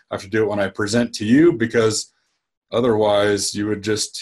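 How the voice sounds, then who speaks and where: A man's voice sounds somewhat breathy and fairly low in pitch. He speaks at a moderate pace. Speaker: dentist and practice coach. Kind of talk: webinar-style talk.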